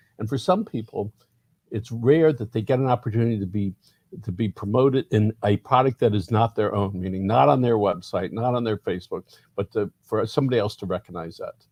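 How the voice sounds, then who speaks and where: Against a quiet background, a man with an American accent talks at a fairly quick pace in a fairly low pitch, somewhat breathy, with a dry, close sound and no echo. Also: ordinary pitch variation. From Miami, Florida. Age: 50s. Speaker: community newspaper publisher. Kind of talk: interview.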